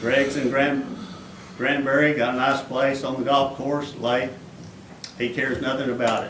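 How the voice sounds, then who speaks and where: In a North Texas accent, a man talks in a monotone, flat way with long, frequent pauses. Noticeable background noise and audible room echo fill the recording. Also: medium pitch for a man. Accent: North Texas drawl. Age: 60s. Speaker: golf course owner speaking at council meeting. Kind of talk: public comment at city council. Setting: city council meeting.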